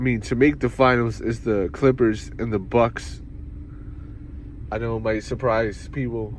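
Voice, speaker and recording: A man is speaking. He has a New York accent. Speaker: sports show host. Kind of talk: casual solo sports talk. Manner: fast, not always clearly enunciated.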